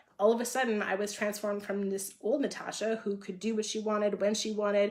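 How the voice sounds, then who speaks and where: An animated tone at a very fast pace, over noticeable background noise. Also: woman, medium pitch for a woman. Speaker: health and fitness coach. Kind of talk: live video chat with viewers.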